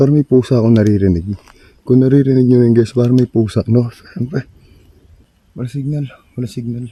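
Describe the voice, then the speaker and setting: Dry and close with no echo, a dark, mellow voice moves at a fairly quick pace with ordinary pitch variation and long, frequent pauses. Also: man, medium pitch for a man. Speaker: ghost-hunting vlogger. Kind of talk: night exploration vlog. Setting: outdoors at night on forest stairs.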